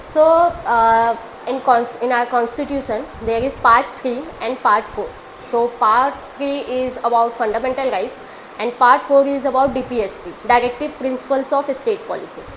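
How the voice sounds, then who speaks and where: With an Indian accent, a woman talks at a high pitch and moderate pace, her intonation fairly even over noticeable background noise. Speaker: law student. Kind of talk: answer to audience question on stage. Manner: hesitant, with fillers.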